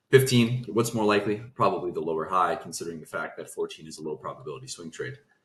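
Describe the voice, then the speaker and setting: A man's fairly low, somewhat breathy voice at a very fast pace, with lively intonation and hardly any pauses. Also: big swings in loudness. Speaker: trading analyst. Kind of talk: market review tutorial.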